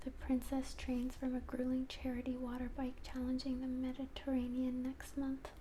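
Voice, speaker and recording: The speaker is soft-spoken and talks at a moderate pace. Noticeable background noise sits behind the voice. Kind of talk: soft-spoken ASMR reading a magazine aloud to camera. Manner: soft-spoken, rambling.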